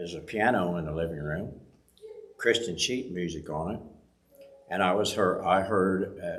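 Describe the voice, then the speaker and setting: A man with a very deep, low voice and an American accent speaks with ordinary pitch variation. Audible room echo and noticeable background noise fill the recording. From rural US farm country. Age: 70s. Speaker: church member giving testimony. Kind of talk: testimony. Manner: halting.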